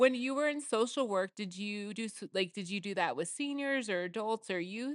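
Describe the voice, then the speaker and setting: A woman with an American accent talks at a moderate pace, in a fairly high pitch with ordinary pitch variation. The sound is dry and close with no echo, over a quiet background. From Portland, Oregon, US Pacific Northwest. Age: 40s. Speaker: podcast co-host. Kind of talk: casual chat.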